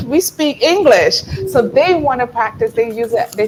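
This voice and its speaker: An animated woman with an American accent and a high pitch, at a moderate pace, over noticeable background noise. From New York, with Barbadian roots. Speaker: writer and creative consultant. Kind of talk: interview.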